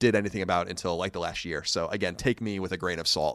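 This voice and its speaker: With a normal speaking voice, a man talks at a fairly low pitch with ordinary pitch variation in a very clean recording against a silent background. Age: 30s. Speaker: video game podcaster and entrepreneur. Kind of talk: interview.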